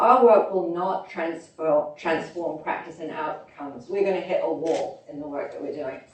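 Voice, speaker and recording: A woman with a British accent speaks at a moderate pace and a fairly low pitch, with ordinary pitch variation, hardly any pauses, and big swings in loudness. Noticeable background noise and audible room echo are present. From London, England (born in Oklahoma, moved as small child). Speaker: health consultant and speaker. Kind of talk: conference talk.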